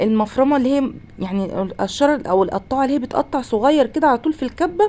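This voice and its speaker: In an Egyptian accent, a woman with a high pitch talks at a very fast pace, her pitch swinging very widely. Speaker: home cooking channel host. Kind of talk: cooking tutorial. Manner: casual, conversational.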